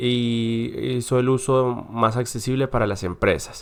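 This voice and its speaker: This is a man speaking at a medium pitch. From Colombia, Cauca. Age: 20s. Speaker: university student. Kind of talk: class presentation. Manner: hesitant, with filler sounds.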